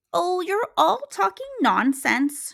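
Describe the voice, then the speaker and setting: Using a put-on character voice, a woman speaks at a high pitch with very wide pitch swings. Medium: read story.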